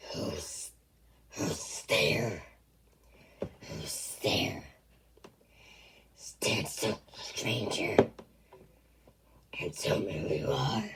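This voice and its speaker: A very slow, low, growling and raspy put-on character voice. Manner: threatening, demanding.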